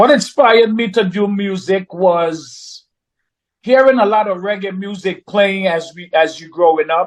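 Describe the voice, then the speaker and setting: A man with a Trinidadian accent speaks at a fairly slow pace in a high voice, with ordinary pitch variation and big swings in loudness, over a quiet background. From Trinidad and Tobago, moved to Brooklyn, New York at ten. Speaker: reggae artist. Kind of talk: interview.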